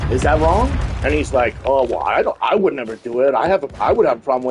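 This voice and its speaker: Very fast, animated speech over music in the background. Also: man. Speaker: gaming livestreamer. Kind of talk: casual chat. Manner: loud.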